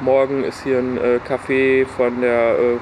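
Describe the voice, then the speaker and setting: At a fairly slow pace, a man with medium pitch talks in a monotone, flat intonation over noticeable background noise. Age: 20s. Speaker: concert organizer and student. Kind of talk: casual interview. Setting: outdoors in a garden.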